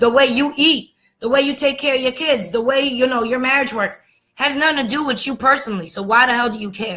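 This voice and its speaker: With an American accent, a woman speaks in a raised, projected voice at a high pitch and a fairly quick pace, her tone animated, bright and sharp, with ordinary pitch variation. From United States. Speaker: spiritual vlogger. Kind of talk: monologue rant. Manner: fast.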